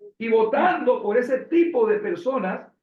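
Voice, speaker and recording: Amid audible room echo, a man speaks at a fairly slow pace with very wide pitch swings. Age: 60s. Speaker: interviewer. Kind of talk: interview.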